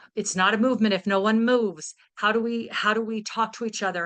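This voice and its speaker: The voice is loud, bright and sharp in tone, with fairly even intonation and a fairly slow pace. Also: woman. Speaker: guest speaker; teacher. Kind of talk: talk over video call. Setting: video call.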